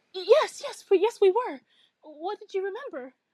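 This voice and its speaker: In a put-on character voice, a woman speaks at a moderate pace in an extremely high, squeaky pitch with very wide pitch swings and big swings in loudness. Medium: read story. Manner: emotional, earnest.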